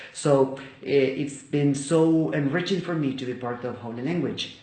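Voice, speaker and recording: A man with a Spanish accent and ordinary pitch variation, amid noticeable background noise and audible room echo. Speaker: English teacher and Bible study video maker. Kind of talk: personal testimony. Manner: halting, with many fillers.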